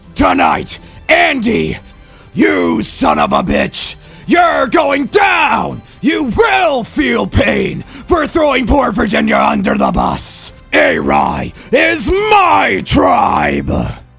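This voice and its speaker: Shouting in a put-on character voice at a very slow pace, a man is heard over clear music in the background. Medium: role play. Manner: loud, fiery.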